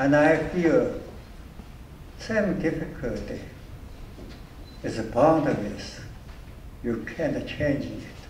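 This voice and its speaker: Amid noticeable background noise and audible room echo, a man with a fairly high pitch speaks very slowly, with very wide pitch swings and long, frequent pauses. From China. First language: Chinese. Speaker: honored guest speaker, shipping businessman. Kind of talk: award ceremony speech and Q&A. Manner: halting.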